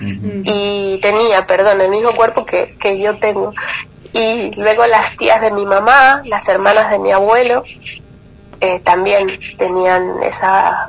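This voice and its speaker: A woman's monotone, flat voice at a very slow pace, with noticeable background noise. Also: medium pitch for a woman. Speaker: lipedema patient and advocate. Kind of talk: interview testimony.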